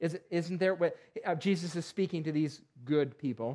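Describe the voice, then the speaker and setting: A man talks with an American accent. His pitch is high and his pace moderate. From western New York (Perry). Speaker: pastor. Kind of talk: sermon. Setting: church. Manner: halting, many fillers.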